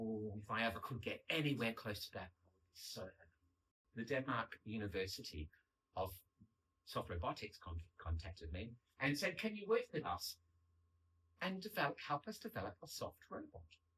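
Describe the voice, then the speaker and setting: Speaking with an Australian accent at a moderate pace, a man leaves long, frequent pauses and makes big swings in loudness. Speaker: paper engineer and artist. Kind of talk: public lecture. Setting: stage with audience. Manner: animated.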